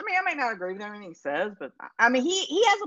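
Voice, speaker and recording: A woman speaks very fast, her pitch swinging very widely. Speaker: guest being quizzed. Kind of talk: casual banter, comedic quiz. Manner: jokey, chatty.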